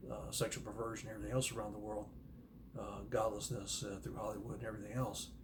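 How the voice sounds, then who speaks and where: A man with a fairly low pitch speaks at a very fast pace with fairly even intonation. There is audible room echo and noticeable background noise. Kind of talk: casual monologue on Bible prophecy. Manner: soft-spoken; halting, many fillers.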